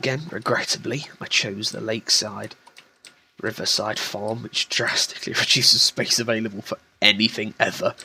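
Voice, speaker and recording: A man's quiet whispering. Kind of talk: casual gameplay commentary. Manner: quiet, whispery.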